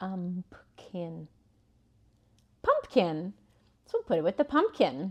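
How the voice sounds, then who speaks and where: The woman's medium-pitched voice sounds dry and close, with no echo. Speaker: preschool teacher. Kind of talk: tutorial. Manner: calm; slow.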